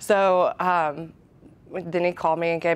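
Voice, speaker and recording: A woman with a Southern accent speaks at a fairly low pitch. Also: quiet background. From Alabama. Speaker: radio DJ. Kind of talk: interview. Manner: casual, chatty.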